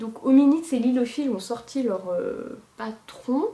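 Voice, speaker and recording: A woman speaks over noticeable background noise. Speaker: knitting podcaster. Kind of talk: casual monologue podcast. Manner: hesitant with many fillers.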